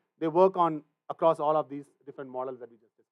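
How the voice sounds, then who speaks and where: The speech comes at a very fast pace. The sound is dry and close, with no echo. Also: man. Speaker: machine learning instructor at recruiting event. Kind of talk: technical lecture / workshop. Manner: frequent fillers, says right a lot.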